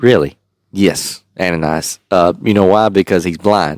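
The man's voice sounds dry and close, with no echo at all. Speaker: podcast host and Bible teacher. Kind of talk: casual Bible-study podcast chat, with scripture read aloud. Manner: conversational, laughing, with fillers; reads the King James verses aloud with a steady, earnest cadence.

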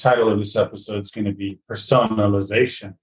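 At a fairly quick pace, a man talks in a somewhat breathy voice with a fairly low pitch. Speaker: podcast host. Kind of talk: interview.

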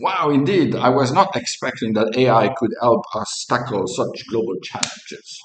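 An unremarkable speaking voice from a man, medium in pitch and fairly slow, with lively intonation and hardly any pauses. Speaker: chief investment officer. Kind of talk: interview-style podcast dialogue.

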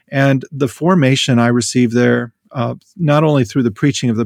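A man's normal speaking voice at medium pitch, in an American accent, with fairly even intonation and a moderate pace against a quiet background. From US Midwest, rural North Dakota. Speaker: theology professor. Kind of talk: interview.

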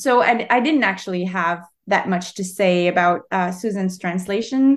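A woman with a Quebec accent speaks at a moderate pace and a medium pitch. Her intonation is lively, and she hardly pauses. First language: French. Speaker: novelist. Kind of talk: interview. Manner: halting.

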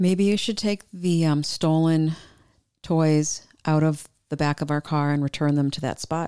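Recorded very cleanly against a silent background, a woman speaks with a very deep, low pitch. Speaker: podcast co-host. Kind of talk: casual chat.

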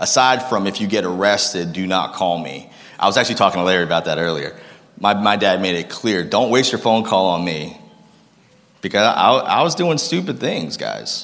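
A man with an American accent speaks at a moderate pace in a fairly low pitch, his tone animated and his intonation lively. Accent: northern US, noticed by locals. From Massachusetts (Lowell). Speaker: guest speaker. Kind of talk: sermon testimony. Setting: church stage with audience.

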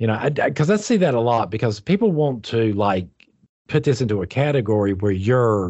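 Here a man talks at a medium pitch, fairly quickly. His intonation is lively, and his is an unremarkable speaking voice. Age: 50s. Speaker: podcast co-host discussing spirituality. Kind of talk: casual chat.

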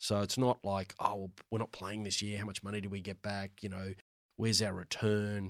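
Against a silent background in a very clean recording, a man with an Australian accent speaks at a very fast pace and a fairly low pitch. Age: 50s. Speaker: finance executive. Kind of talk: casual interview. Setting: studio.

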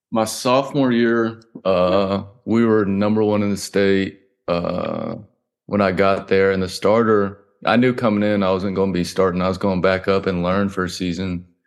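A man with a Southern US accent speaks in a fairly low pitch over a quiet background. His intonation is fairly even and his loudness very even. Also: moderate pace. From coastal South Carolina. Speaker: college football quarterback. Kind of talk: casual interview.

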